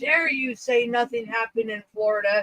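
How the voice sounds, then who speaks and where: A woman speaks loudly at a high pitch. The sound is dry and close, with no echo. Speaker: livestream host. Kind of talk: casual group chat. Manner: animated.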